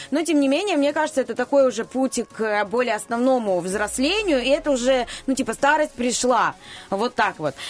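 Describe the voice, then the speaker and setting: A woman speaks with a high pitch. Noticeable background noise is present. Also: lively intonation, moderate pace. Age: 30s. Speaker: radio news presenter. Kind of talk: radio segment, casual talk.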